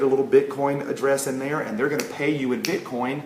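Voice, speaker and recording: A man's fairly high voice at a very fast pace, with noticeable background noise and audible room echo. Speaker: network marketing promoter. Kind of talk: sales pitch. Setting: home livestream at kitchen table. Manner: loud; animated.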